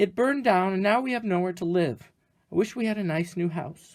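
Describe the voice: On a very clean recording with a silent background, a squeaky put-on character voice at middle pitch speaks at a fairly quick pace.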